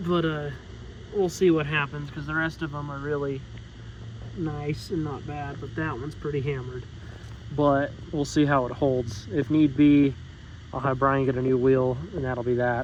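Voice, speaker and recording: Noticeable background noise sits behind the speech. A man talks at a moderate pace with a fairly high pitch. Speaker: garage mechanic YouTuber. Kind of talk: workshop vlog. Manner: casual, rambling.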